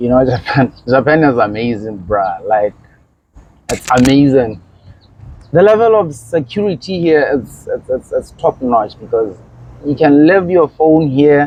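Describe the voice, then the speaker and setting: A man's fairly high voice, fairly slow in pace, with very wide swings in pitch. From Botswana. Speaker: visitor in Japan, interviewee. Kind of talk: casual interview. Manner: hesitant, repeats words.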